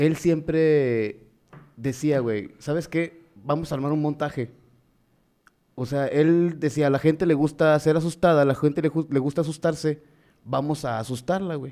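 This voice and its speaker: A fairly high male voice with a dark, mellow tone moves at a fairly slow pace. The intonation is fairly even, in a very clean recording with a silent background. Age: 20s. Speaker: podcast co-host and teacher. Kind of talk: casual chat. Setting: live stream.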